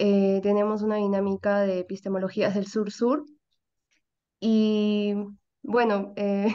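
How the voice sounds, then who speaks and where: A woman's dark, mellow tone, monotone and flat, at a very slow pace over a quiet background. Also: very even loudness. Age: 20s. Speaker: course participant, youth collective coordinator. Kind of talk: self-introduction. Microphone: video call.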